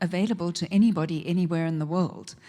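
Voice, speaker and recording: A woman with a South African accent speaks at a moderate pace in a fairly low voice. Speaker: session moderator, professor. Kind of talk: conference moderation.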